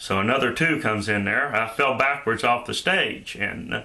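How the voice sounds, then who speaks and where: A slight Shenandoah Valley accent comes through with audible room echo. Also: man. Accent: slight Southern accent, Shenandoah Valley. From Shenandoah Valley, Virginia. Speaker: YouTuber, vlogger. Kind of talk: casual vlog monologue. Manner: hesitant, many filler uhs.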